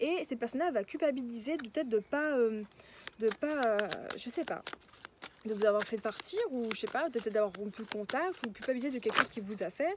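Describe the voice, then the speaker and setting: This woman talks in a high pitch with lively intonation. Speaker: tarot card reader. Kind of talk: tarot reading. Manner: soft-spoken; halting.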